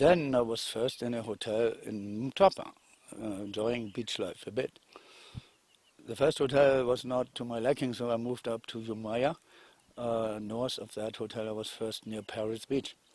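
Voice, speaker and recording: A man at a medium pitch, moderate pace and fairly even intonation. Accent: German. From Germany. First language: German. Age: 60s. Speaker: retired investor telling his story. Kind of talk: testimony. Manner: halting.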